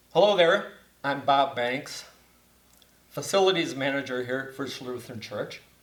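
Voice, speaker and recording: A man's fairly high voice at a moderate pace, with ordinary pitch variation, long and frequent pauses, and audible room echo. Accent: American. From Wisconsin (Beaver Dam). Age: 70s. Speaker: church facility manager. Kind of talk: casual interview.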